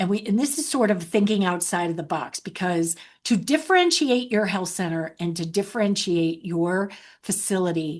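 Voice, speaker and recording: Against a quiet background, a woman with medium pitch speaks at a moderate pace using lively intonation. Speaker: webinar presenter on healthcare hiring. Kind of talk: webinar presentation. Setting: online webinar. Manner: halting with repetitions.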